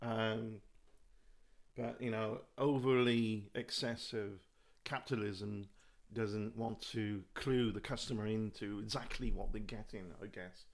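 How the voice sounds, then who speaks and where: Speaking fairly slowly with a British accent, a man keeps a medium pitch and monotone, flat intonation. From UK. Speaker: YouTuber. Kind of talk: live stream monologue. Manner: rambling with fillers.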